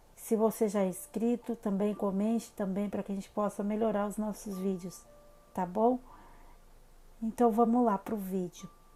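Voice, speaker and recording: Music plays in the background as a woman speaks in a monotone, flat intonation with long, frequent pauses. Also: medium pitch for a woman, moderate pace. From Brazil, São Paulo state interior (Salto). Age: 30s. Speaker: holistic psychotherapist, channel host. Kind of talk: personal life story vlog. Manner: casual, many fillers (né).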